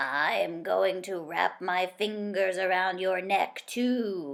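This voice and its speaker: A female-sounding voice delivers a put-on character voice at medium pitch and a very slow pace. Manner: spooky, howling.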